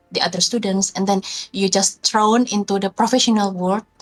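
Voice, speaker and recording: A woman speaks with a non-native accent. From Indonesia. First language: not English. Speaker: video game artist. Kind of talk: interview. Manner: halting.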